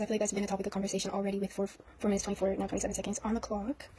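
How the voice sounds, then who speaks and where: Against noticeable background noise, a woman speaks very fast at a fairly high pitch. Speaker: tarot reader. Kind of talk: tarot reading monologue. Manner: halting, repeats words; casual, filler-heavy.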